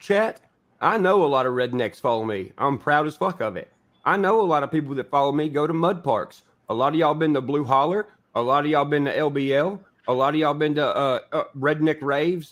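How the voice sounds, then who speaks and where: A man's fairly high voice, with ordinary pitch variation, moves at a fairly quick pace. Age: 30s. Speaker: livestreamer. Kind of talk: casual chat. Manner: animated.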